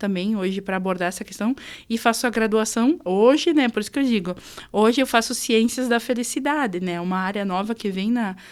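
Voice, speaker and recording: Her pace fairly quick, a woman speaks with fairly high pitch. The pitch variation is ordinary. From southern Brazil, rural Concórdia, western Santa Catarina. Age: 20s. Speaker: rural producer and speaker. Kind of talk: podcast interview. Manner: hesitant, many fillers.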